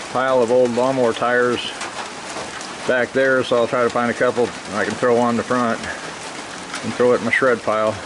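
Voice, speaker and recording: Speech comes at a moderate pace with noticeable background noise. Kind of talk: casual vlog chat. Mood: relaxed. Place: garage. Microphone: phone near.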